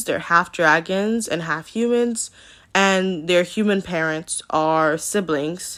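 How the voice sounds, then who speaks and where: A woman with a plain, everyday voice talks at medium pitch with ordinary pitch variation, in a very clean recording with a silent background. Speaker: art youtuber. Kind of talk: casual voiceover commentary.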